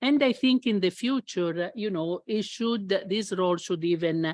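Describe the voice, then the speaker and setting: A woman speaks fairly slowly in an Italian accent. The sound is dry and close with no echo, over a quiet background. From Italy. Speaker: international labour official moderating a panel. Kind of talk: panel discussion opening remarks. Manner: halting, many fillers.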